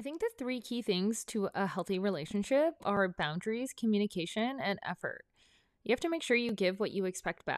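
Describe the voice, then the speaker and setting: A woman with a Canadian accent speaks fairly quickly at a fairly high pitch, with lively intonation and an unremarkable speaking voice. The sound is dry and close with no echo, on a very clean recording with a silent background. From northern British Columbia, Canada. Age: 30s. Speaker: podcast host. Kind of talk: casual solo monologue. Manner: chatty, upbeat.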